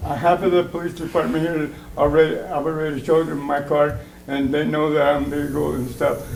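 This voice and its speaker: Amid noticeable background noise and audible room echo, a man speaks at a fairly quick pace in a monotone, flat intonation. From Portugal. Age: 60s. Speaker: public commenter at city council. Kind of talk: public comment at council meeting. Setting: city council chamber. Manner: halting, filler-heavy.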